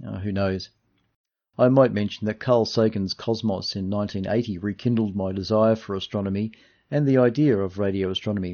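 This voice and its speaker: A man speaks fairly quickly with an Australian accent. His pitch is fairly low and his intonation fairly even. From Australia, Melbourne (Dandenong). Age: 60s. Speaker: radio technician and amateur radio astronomer. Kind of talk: interview, partly read from prepared notes.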